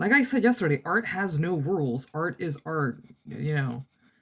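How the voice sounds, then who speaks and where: Somewhat breathy and very deep, low-pitched, a woman's voice moves with lively intonation. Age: 20s. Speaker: art vlogger. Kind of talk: casual chat. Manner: animated.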